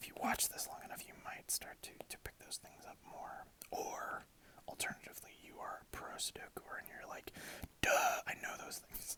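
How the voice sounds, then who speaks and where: At a moderate pace, a voice speaks in a whisper. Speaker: ASMR creator. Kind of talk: ASMR gameplay commentary. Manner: whispered.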